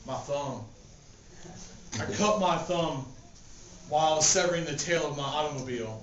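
The man's pitch is fairly high, with ordinary variation and a moderate pace. He takes long, frequent pauses over noticeable background noise. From Appalachia. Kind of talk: oral storytelling at a live poetry reading. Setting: live event venue. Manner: casual, humorous.

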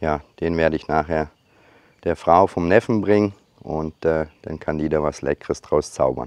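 Very deep, low male speech at a fairly slow pace, with ordinary pitch variation. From Germany. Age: 40s. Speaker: YouTuber and hobby farmer. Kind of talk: casual vlog narration. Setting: outdoors on a farm. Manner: hesitant, many filler sounds.

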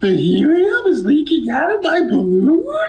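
This man puts on a squeaky character voice pitched extremely high. He talks at a moderate pace.

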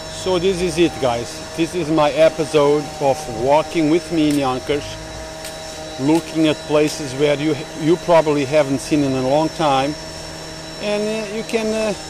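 With clear background noise behind him, a man speaks at a fairly slow pace in a fairly high pitch with ordinary pitch variation.

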